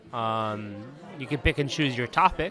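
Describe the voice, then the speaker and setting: Crowd noise fills the background as a man speaks at a moderate speed. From Palestinian. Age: 30s. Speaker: activist. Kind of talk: casual interview.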